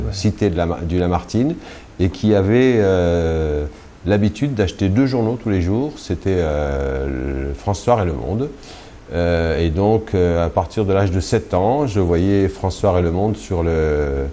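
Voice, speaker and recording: A man with a very deep, low voice speaks at a fairly slow pace with lively intonation. Noticeable background noise can be heard. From Algeria, Kabylie. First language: Kabyle (Berber) (speaking French). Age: 50s. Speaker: journalist. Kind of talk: interview.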